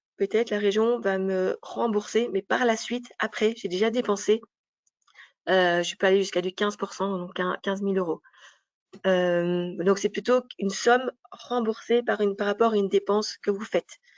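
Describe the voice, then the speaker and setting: Her voice is a plain, everyday voice at a medium pitch for a woman. The woman keeps a moderate pace and fairly even intonation. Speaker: business advisor presenting an information session. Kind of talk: information session presentation.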